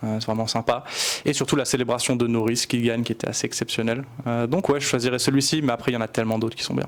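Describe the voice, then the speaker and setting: Fairly even intonation carries a man's medium-pitched speech. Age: 20s. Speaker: motorsport photographer. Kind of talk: casual interview.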